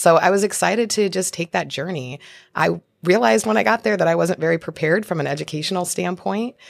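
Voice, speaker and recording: A woman with an American accent and a fairly low pitch speaks at a very fast pace with lively intonation and vocal fry, in a dry, close sound with no echo. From Spokane, Washington. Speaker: congressional candidate and lawyer. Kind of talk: interview.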